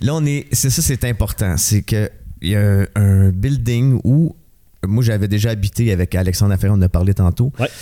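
Moderately paced male speech in a Quebec accent, fairly low and dark and mellow in tone, with ordinary pitch variation and very even loudness. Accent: Québécois French. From Montreal (Rosemont). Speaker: musician and actor. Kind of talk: casual interview.

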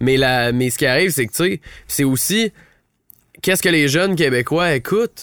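The sound is dry and close, with no echo. A fairly high-pitched man speaks at a moderate pace with lively intonation. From Ottawa, Canada. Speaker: singer-songwriter and producer. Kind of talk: casual chat. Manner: halting, many repetitions.

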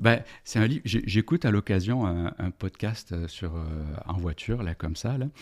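On a very clean recording with a silent background and a dry, close sound with no echo, a man with a fairly low voice speaks at a moderate pace with lively intonation. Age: 50s. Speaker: organizational development consultant and business coach. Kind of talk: casual interview about books. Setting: podcast studio.

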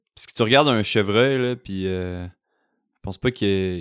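In a Quebec accent, the speaker talks at a moderate pace with ordinary pitch variation on a very clean recording with a silent background. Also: man. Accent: Québécois. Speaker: podcast host. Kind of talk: interview. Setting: host's home.

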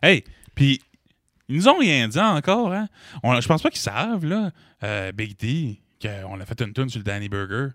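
A man speaks at a fairly slow pace, his pitch swinging very widely. Long, frequent pauses fall in a very clean, dry, close recording with a silent background and no echo. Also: medium pitch for a man. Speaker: band member. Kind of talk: casual chat.

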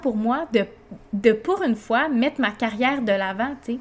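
A woman's fairly high voice with a Quebec accent, at a fairly slow pace. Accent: Québécois French. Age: 20s. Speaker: podcast host, mother and entrepreneur. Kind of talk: personal monologue. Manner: casual, many filler hesitations.

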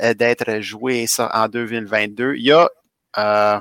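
A man speaks with a Quebec accent. His tone is bright and sharp. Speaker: podcast co-host, gamer. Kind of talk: casual chat.

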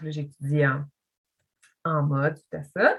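A very slow woman's voice, very deep and low in pitch. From Quebec, Montreal (Pointe-Claire). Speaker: visual artist. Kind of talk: casual chat. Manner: halting.

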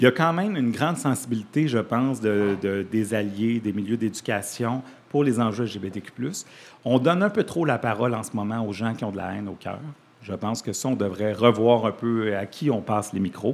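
A man talks at a moderate pace and medium pitch with ordinary pitch variation, in an ordinary speaking voice. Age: 40s. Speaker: community organization director. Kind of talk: radio interview.

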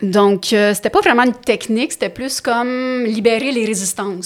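A woman's fairly even intonation over noticeable background noise. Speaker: stand-up comedian and actress. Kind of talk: casual chat.

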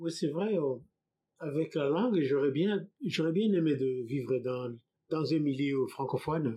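In a dark, mellow tone, a man speaks fairly slowly at a fairly high pitch. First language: not French (speaking French). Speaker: immigrant. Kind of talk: testimony.

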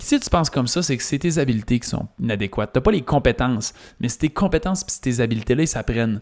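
A man with a Quebec accent, lively intonation and a fairly quick pace. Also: very clean recording, silent background. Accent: Québécois French. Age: 30s. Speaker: business coach and podcast host. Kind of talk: solo podcast monologue.

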